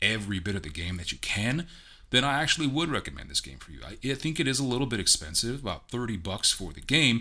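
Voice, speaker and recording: This man speaks at a fairly quick pace in a bright, sharp tone with vocal fry and very wide pitch swings, on a very clean recording with a silent background. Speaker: amateur voice actor and game reviewer. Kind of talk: casual game review vlog. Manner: casual, conversational.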